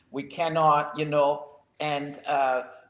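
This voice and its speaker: With a German accent, a man speaks at a fairly high pitch. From Germany. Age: 60s. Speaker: podcast co-host. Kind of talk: casual chat. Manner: halting.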